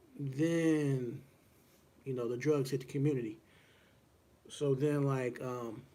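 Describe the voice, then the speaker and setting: With an American accent, a man talks at a very slow pace in a relaxed, dark, mellow tone, his flat, monotone delivery broken by long, frequent pauses and set against audible room echo. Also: medium pitch for a man. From US, Woodlawn near Cincinnati, Ohio. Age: 40s. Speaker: boxing podcast host. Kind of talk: casual solo livestream talk. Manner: relaxed, many fillers and hesitations.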